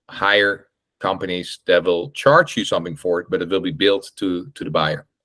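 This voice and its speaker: With a Dutch accent, this man talks at a moderate pace in a very deep, low voice, his intonation lively and his tone bright and sharp. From Netherlands, Amsterdam. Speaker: real estate investor and meetup host. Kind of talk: online group meeting Q&A. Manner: halting, many fillers and repetitions.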